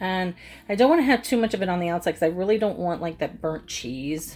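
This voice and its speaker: A woman talks at a fairly quick pace with very wide pitch swings while faint music plays in the background. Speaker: cooking and makeup vlogger; makeup vlogger. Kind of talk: casual cooking tutorial.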